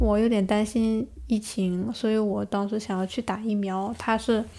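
A woman with a fairly high yet dark, mellow voice speaks at a moderate pace in a monotone, flat delivery, on a very clean recording with a silent background. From Northeast China. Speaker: master's student. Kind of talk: interview storytelling.

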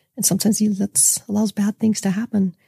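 A woman speaks at a fairly quick pace in a medium-pitched, somewhat breathy voice with a dark, mellow tone. Her intonation is fairly even, and the sound is dry and close with no echo. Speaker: guest sharing life story. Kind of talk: personal testimony. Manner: mild.

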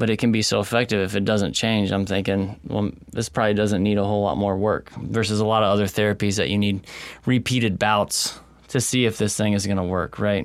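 With an American accent, a man talks in a fairly low, monotone, flat voice at a fairly quick pace and very even loudness. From Texas. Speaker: chiropractor. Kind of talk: interview. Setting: in person at his clinic.

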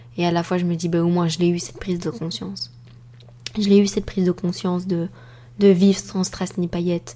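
A woman speaks in a calm tone at a fairly low pitch and a fairly quick pace, with long, frequent pauses. Noticeable background noise is present. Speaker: podcast host and life coach. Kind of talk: solo podcast monologue. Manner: calm, composed; halting.

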